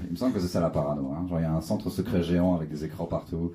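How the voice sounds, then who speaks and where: A man talks over noticeable background noise. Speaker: stand-up comedian. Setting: comedy club stage with audience.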